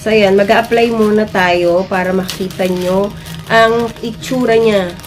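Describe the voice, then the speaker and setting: Through noticeable background noise and audible room echo, a woman at a medium pitch speaks at a fairly slow pace. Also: fairly even intonation. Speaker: beauty vlogger. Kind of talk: product review vlog. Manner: casual, chatty.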